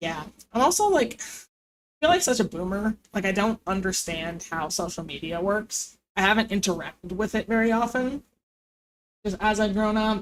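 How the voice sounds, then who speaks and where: This is a woman with a normal speaking voice. Her intonation is lively. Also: medium pitch for a woman, moderate pace. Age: 20s. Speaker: streamer. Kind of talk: casual chat. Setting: live stream.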